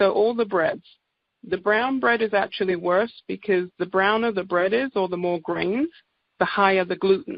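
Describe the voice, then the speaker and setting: This woman speaks at a moderate pace and medium pitch, with ordinary pitch variation. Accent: English. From England. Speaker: naturopath. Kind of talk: sales presentation. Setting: conference call.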